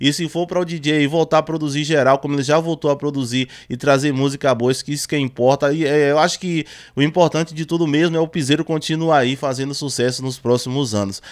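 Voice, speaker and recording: Against a quiet background, a man talks at a very fast pace. His intonation stays fairly even. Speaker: music news youtuber. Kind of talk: commentary. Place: home room. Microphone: studio mic.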